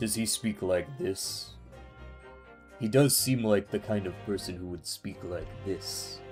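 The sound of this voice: A man puts on a character voice at a fairly low pitch and fairly slow pace, with clear music in the background. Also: ordinary pitch variation.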